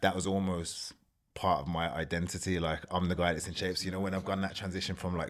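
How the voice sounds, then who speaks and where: A man talks at a very fast pace in a Birmingham accent. His very deep, low voice stays in a monotone, flat intonation. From England, Birmingham. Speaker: former competitive bodybuilder. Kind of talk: podcast interview.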